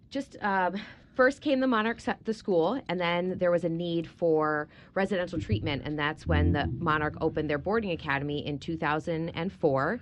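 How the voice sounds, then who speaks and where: A woman with a plain, everyday voice speaks at a moderate pace, her fairly low pitch carried by lively intonation. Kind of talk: radio interview.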